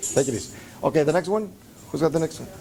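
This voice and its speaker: Fairly high-pitched, lively intonation from a man at a fairly quick pace over noticeable background noise. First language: Spanish. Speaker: English teacher trainer. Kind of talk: lecture. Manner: halting, many fillers.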